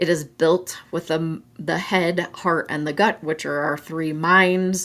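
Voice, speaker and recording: A very slow, very deep, low-pitched woman with an American accent and fairly even intonation, on a very clean recording with a silent background. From Colorado, US. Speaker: mental health show host. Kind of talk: solo talk show, advice and promotion. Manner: casual, chatty.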